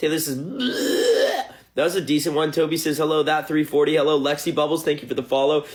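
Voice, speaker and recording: Noticeable background noise runs under a man's fairly high, fairly quick speech, which shows ordinary pitch variation. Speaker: musician livestreaming to fans. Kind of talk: live stream chat reading comments. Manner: fast; halting.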